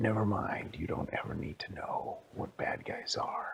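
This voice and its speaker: A whispered, put-on character voice at a moderate pace. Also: man. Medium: read story.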